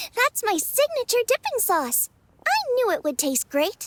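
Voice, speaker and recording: A woman puts on a squeaky character voice at an extremely high pitch, bubbly and upbeat with very wide pitch swings. She keeps a moderate pace in a dry, close sound with no echo. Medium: video game. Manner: bubbly, upbeat.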